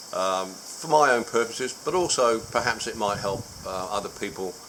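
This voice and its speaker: A man speaks with an Australian accent and lively intonation. There is noticeable background noise behind him. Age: 70s. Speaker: vlogger sharing a personal surgery experience. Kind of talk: personal video diary. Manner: hesitant, many filler words.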